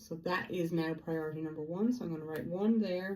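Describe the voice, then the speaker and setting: There is audible room echo as a woman talks at a fairly low pitch, her dark, mellow tone showing ordinary pitch variation. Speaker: feng shui vlogger. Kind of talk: casual vlog monologue.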